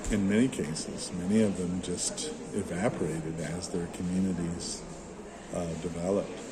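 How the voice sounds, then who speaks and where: With an American accent, the speaker talks at a moderate pace with ordinary pitch variation and long, frequent pauses, amid noticeable background noise and audible room echo. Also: man. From US Midwest, Michigan. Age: 60s. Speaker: church planter. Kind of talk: interview.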